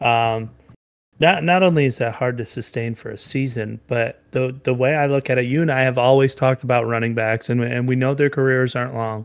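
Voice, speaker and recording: A man with an unremarkable speaking voice talks at a fairly quick pace and a medium pitch, his intonation fairly even. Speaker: podcast co-host. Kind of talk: casual chat. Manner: conversational, interrupts often.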